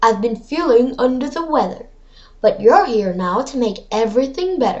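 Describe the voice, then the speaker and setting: A woman does a put-on character voice, growling at a high pitch. Her pace is moderate. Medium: read story. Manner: sly, growly.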